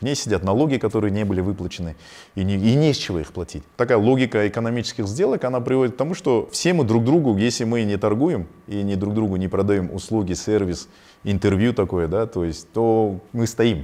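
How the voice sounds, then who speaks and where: A man's fairly low voice with a dark, mellow tone, lively intonation and a fairly quick pace, over a quiet background. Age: 40s. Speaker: business owner. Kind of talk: interview. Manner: halting.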